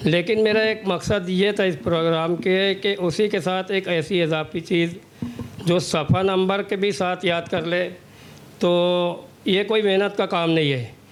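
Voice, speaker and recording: Holding very even loudness, a man speaks at a high pitch with ordinary pitch variation. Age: 60s. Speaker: hafiz, powerloom worker. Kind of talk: interview.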